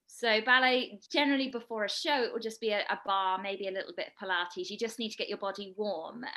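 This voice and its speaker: A woman's bright, sharp voice with a British accent, fairly high pitch, very fast pace, hardly any pauses, and a quiet background. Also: ordinary pitch variation. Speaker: dancer and actor. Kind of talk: interview.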